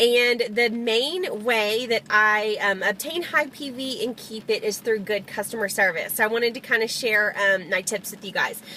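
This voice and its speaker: A woman speaks with a fairly high pitch. Her pace is moderate. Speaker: network marketing distributor. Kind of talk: live video tips talk. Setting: in a car. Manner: loud; hesitant fillers.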